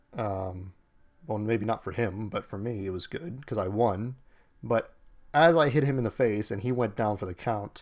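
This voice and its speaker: In an unremarkable speaking voice, a man with an American accent speaks at a fairly low pitch with ordinary pitch variation. His pace is moderate and the recording very clean, with a silent background. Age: 30s. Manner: casual, many fillers.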